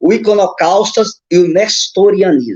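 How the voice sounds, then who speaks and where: A man's voice with ordinary pitch variation. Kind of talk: teaching on a live stream. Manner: fast.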